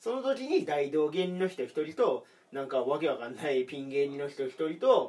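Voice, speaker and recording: Lively intonation marks this man's fairly high-pitched speech. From Aomori. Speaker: comedian. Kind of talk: casual chat.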